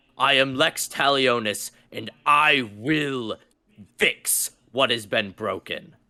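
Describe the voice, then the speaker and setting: In a put-on character voice, a man booms at a medium pitch and a fairly slow pace, recorded very cleanly against a silent background. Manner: grave, declarative.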